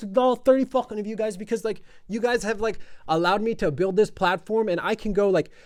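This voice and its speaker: An animated man speaks very fast in a high pitch with an American accent. His pitch variation is ordinary. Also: quiet background. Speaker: podcast host, sports content creator. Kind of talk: casual podcast monologue.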